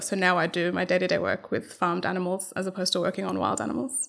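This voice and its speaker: A woman's medium-pitched, very fast speech in an Australian accent. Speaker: animal welfare researcher. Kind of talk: interview.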